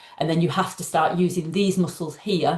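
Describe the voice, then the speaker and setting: A woman's fairly low, somewhat breathy voice moves at a moderate pace, her intonation fairly even. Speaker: doctor and breathing coach. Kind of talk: interview.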